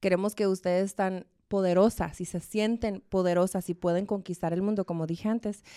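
A woman's dark, mellow tone at medium pitch, with fairly even intonation and a moderate pace, in a very clean recording with a silent background and a dry, close sound with no echo. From Arizona, USA, Mexican family from Chihuahua. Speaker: salon owner and entrepreneur. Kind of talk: interview conversation.

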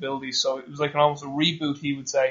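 This man talks at a very fast pace with an Irish accent. His fairly high voice stays monotone and flat. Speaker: podcast host, strength coach. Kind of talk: interview.

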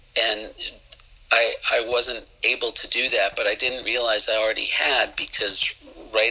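Moderate-paced speech from a man with an American accent, noticeable background noise behind it. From Boston area, US. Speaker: musician and songwriter.

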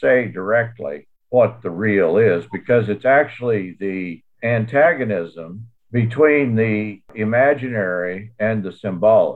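A man's ordinary speaking voice at a medium pitch with lively intonation. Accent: American. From US Southwest (New Mexico, Texas). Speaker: theologian and author. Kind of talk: academic discussion.

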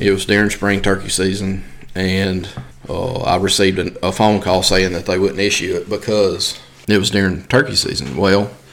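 With a Mississippi accent, a man talks at a fairly quick pace in a fairly low pitch. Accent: Southern US (Mississippi). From US South, Mississippi. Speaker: coon hunting club manager. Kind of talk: casual interview.

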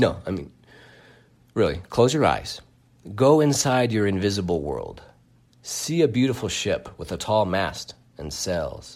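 With vocal fry, a playful, animated tone and very wide pitch swings, the voice moves at a fairly slow pace through long, frequent pauses, captured in a very clean recording against a silent background. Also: man, medium pitch for a man. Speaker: podcast host. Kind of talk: solo podcast monologue, ending in a pep talk. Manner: conversational and playful.

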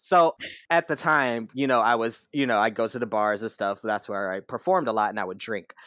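The recording is very clean with a silent background. The speech moves at a fairly quick pace. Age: 20s. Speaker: burlesque performer and drag queen. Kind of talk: casual interview.

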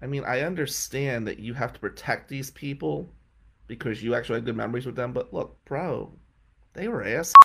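On a very clean recording with a silent background, a man with an American accent speaks at a fairly quick pace in a bright, sharp tone with vocal fry, his medium pitch showing ordinary variation. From New Jersey. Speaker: criminal defense lawyer. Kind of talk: casual monologue.

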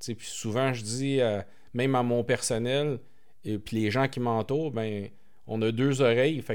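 This man has an ordinary speaking voice, medium in pitch, with fairly even intonation at a fairly slow pace. The recording is very clean, with a silent background. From Quebec, Montreal. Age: 40s. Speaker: entrepreneur. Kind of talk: interview.

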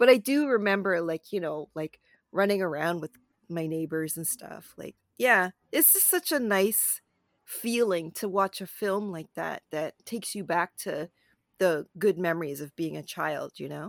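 A woman with a Canadian accent and a normal speaking voice talks at a moderate pace in a medium pitch, with lively intonation and big swings in loudness, on a very clean recording with a silent background and a dry, close sound with no echo. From Canada, Toronto. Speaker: film critic and podcast co-host. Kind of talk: casual chat.

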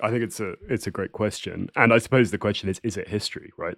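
Speaking at a very fast pace, a man with a southern English accent is heard in a very clean recording with a silent background. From England. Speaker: writer. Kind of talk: interview conversation. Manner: halting, repeating words.

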